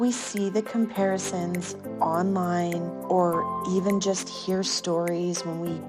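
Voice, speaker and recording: The voice has a soothing tone. Music plays in the background. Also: woman. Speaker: herbal apothecary founder and meditation guide. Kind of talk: guided meditation reading. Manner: relaxing, soothing.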